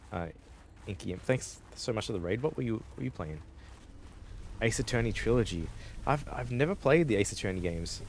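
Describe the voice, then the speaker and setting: At a fairly quick pace, a man with a fairly low pitch shows very wide pitch swings and vocal fry. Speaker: gaming streamer, vtuber. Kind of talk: casual live-stream chat. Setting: live stream. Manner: casual, halting with restarts.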